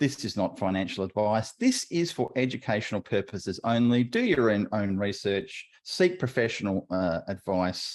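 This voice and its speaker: Against a quiet background, a man with an Australian accent talks at a moderate pace, medium in pitch with lively intonation. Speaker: podcast co-host. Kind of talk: casual interview chat.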